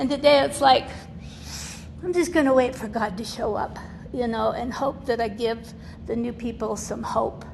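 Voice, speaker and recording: A woman with a fairly high pitch and ordinary pitch variation speaks at a moderate pace with long, frequent pauses, over noticeable background noise and audible room echo. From Utah (born in Nevada, moved at six). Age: 70s. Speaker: recovering alcoholic, guest speaker. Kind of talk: testimony. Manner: casual, chatty.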